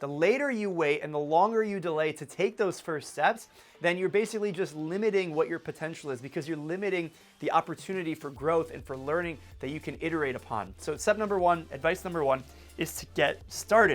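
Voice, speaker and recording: Energetic man with a high pitch, ordinary pitch variation, and a fairly quick pace. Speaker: entrepreneur vlogger. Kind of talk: advice vlog talk to camera. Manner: fast.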